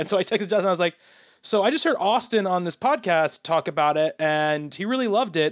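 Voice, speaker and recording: This man's voice is high in pitch. The sound is dry and close, with no echo. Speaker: video game podcast host. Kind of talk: casual chat. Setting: live online stream.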